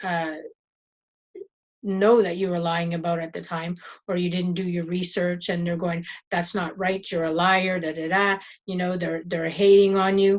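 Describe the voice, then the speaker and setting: A woman with a French Canadian accent speaks at a moderate pace in a fairly low, monotone, flat voice, leaving long, frequent pauses. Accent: French-sounding Canadian. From Northern Ontario, Canada. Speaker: YouTuber, internet marketer. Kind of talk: casual motivational vlog talk. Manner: stumbles, repeats words, says 'and' a lot.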